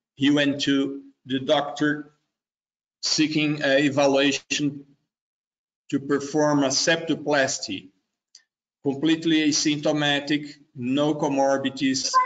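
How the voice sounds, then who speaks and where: With a Brazilian accent, a man talks at a fairly slow pace in a fairly high, monotone, flat voice. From southern Brazil, Curitiba. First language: Portuguese. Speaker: cardiologist. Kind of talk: case presentation. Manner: halting, many fillers.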